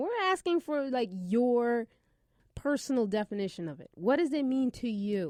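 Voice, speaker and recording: A woman with a Brooklyn accent, animated in tone, at a moderate pace, in a dry, close recording with no echo. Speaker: college radio host. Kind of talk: casual chat.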